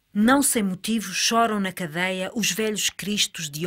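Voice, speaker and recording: A woman's unremarkable speaking voice with ordinary pitch variation, in a very clean recording with a silent background. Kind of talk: staged dialogue reading of surrealist verse, alternating with another voice. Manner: dreamlike, deliberate, theatrical.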